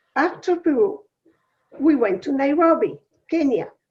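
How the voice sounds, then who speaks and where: A woman with a Uruguayan accent and lively intonation. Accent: non-American, Uruguayan Spanish. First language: Spanish. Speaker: women's organization UN representative. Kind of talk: webinar talk.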